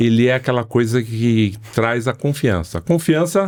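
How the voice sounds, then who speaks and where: A plain, everyday voice with lively intonation, in a very clean recording with a silent background. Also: man. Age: 60s. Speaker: sales expert. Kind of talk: podcast interview.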